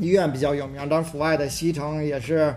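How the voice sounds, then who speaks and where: The man's voice sits fairly high. His intonation stays flat and monotone. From Beijing, southern city. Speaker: podcast co-host. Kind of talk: casual chat.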